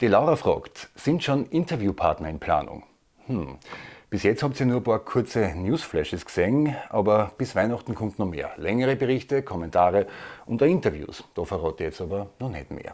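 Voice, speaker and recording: Speaking at a moderate pace, a man uses a medium pitch with very wide pitch swings. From Austria. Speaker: comedy news video maker. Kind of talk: viewer Q&A, casual monologue. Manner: hesitant with fillers.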